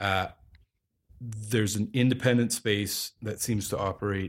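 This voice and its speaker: A man speaks at a moderate pace with a Canadian accent, his pitch fairly low and his intonation fairly even. It is an ordinary speaking voice, captured in a very clean recording with a silent background. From Calgary, Alberta, Canada. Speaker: equipment rental company representative and film producer. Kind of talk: casual interview.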